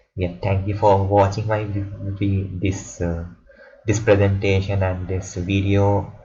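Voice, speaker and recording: A man's fairly low, somewhat breathy voice, fairly slow and flat in a monotone, with audible room echo. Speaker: student making tutorial video. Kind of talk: tutorial. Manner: halting, with many repetitions.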